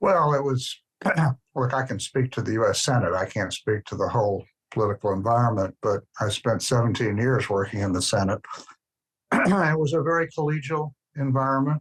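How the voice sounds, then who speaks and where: A man's somewhat breathy voice at a fairly quick pace, with lively intonation and a dry, close sound with no echo. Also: medium pitch for a man. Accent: Southern US. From US South, Birmingham, Alabama. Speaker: former ambassador. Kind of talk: interview.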